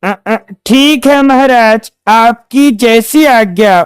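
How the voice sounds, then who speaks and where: A cartoonish character voice from a woman, fairly high-pitched and very slow, with a dry, close sound and no echo. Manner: deferential, hesitant.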